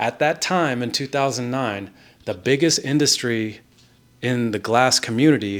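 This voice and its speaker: The voice has a Californian accent and ordinary pitch variation. The pace is moderate. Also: man. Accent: Californian American. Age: 30s. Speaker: glass artist. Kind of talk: personal vlog monologue.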